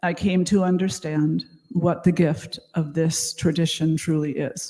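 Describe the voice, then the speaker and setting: The voice is somewhat breathy, with a dark, mellow tone, an American accent and fairly even intonation. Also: woman, fairly low pitch for a woman, fairly slow pace. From United States. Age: 60s. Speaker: conference speaker, yoga and meditation teacher. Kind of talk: conference talk.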